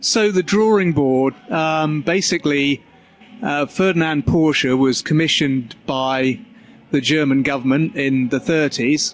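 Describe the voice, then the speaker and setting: A man with an English accent talks at a fairly slow pace and a fairly high pitch. His pitch varies in an ordinary way, and his loudness stays very even. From England. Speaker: car company spokesperson. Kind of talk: casual interview. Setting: auto show floor during setup.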